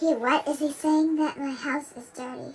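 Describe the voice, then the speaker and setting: A woman's cartoonish character voice, high-pitched, with big swings in loudness, fairly even intonation and a moderate pace. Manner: theatrical, mischievous.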